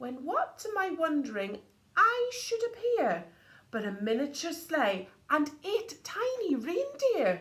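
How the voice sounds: Speaking at a slow pace, a woman has a high pitch, a fairly bright tone and very wide pitch swings.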